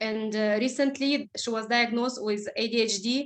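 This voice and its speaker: A woman speaks with a non-native accent and fairly even intonation. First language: not English. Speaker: essential oils presenter. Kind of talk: presentation. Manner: halting.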